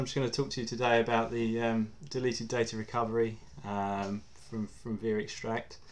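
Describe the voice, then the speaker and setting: With an English accent, a man talks at a moderate pace in a medium pitch, his tone bright and sharp and his intonation fairly even. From England. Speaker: mobile security engineer. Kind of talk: webinar presentation. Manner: halting, many fillers.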